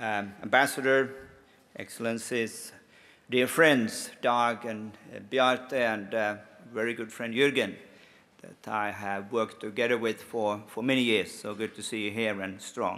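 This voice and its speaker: With a Swedish accent, a man speaks fairly slowly at a medium pitch, his tone bright and sharp and his intonation fairly even, amid audible room echo. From Finland, Swedish-speaking. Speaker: lobbyist and conference speaker. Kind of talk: conference speech. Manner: hesitant, many fillers.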